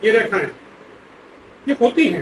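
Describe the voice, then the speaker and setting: Against noticeable background noise, the pitch varies in an ordinary way. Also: man. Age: 70s. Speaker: palmist. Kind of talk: interview.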